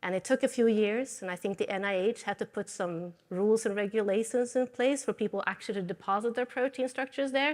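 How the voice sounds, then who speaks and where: A very fast, fairly high-pitched woman with a slight Swedish accent, hardly any pauses, ordinary pitch variation and a quiet background. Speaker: materials science professor. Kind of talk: lecture.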